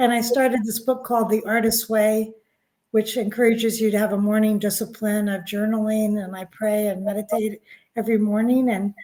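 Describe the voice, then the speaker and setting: With a plain, everyday voice, a woman speaks at a fairly high pitch. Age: 60s. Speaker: author and spiritual guide. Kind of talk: interview.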